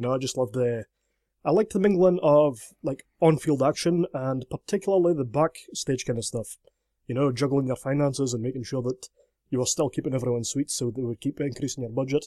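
Recorded with a dry, close sound and no echo, the voice moves at a very fast pace with ordinary pitch variation. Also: man, medium pitch for a man. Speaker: video game podcast guest. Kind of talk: casual chat.

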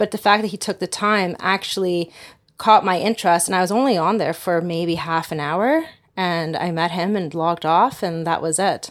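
On a very clean recording with a silent background, a woman talks in a normal speaking voice at a moderate pace, her pitch fairly low with ordinary variation. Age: 30s. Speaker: single mother describing online dating. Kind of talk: interview.

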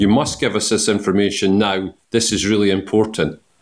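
A man with a Scottish accent, at a moderate pace. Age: 50s. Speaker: entrepreneur. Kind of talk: interview. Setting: garden party.

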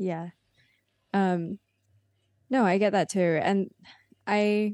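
Against a quiet background, a woman mumbles in a dark, mellow tone with ordinary pitch variation. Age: 20s. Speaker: video creator. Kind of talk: casual chat. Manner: mumbly.

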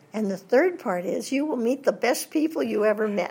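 A woman speaks at a moderate pace with lively intonation and a fairly high pitch. Her voice is somewhat breathy. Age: 80s+. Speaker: voice actress and former Disney reference model. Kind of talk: interview. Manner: animated.

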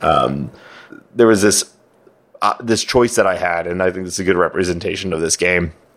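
A man with a very deep, low voice talks at a fairly quick pace with fairly even intonation, broken by long, frequent pauses. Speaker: podcast co-host. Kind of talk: casual chat.

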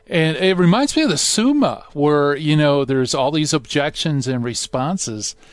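Man with a fairly high pitch and a warm, upbeat tone, hardly any pauses, and noticeable background noise. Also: ordinary pitch variation, moderate pace. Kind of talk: radio host patter. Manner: warm, upbeat, jokey, fluent showman banter.

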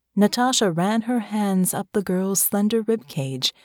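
Intonation remains fairly even. Someone is reading aloud in a natural voice.

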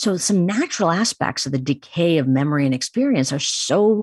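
A woman with an American accent speaks at a moderate pace with very wide pitch swings. The recording is very clean and silent behind her, with a dry, close sound and no echo. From US Midwest, Chicago. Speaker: neuroscientist, psychology professor. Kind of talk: interview.

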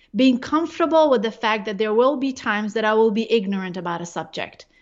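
Here a woman has an ordinary speaking voice with a fairly high pitch. Her pitch variation is ordinary. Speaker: neurologist and researcher. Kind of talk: interview conversation.

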